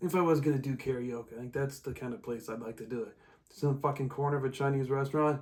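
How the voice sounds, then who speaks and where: Somewhat breathy, a man rushes along at a very fast pace. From Omaha, Nebraska, US Midwest. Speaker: comedian and podcast host. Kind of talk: casual chat. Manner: rambling, halting with fillers.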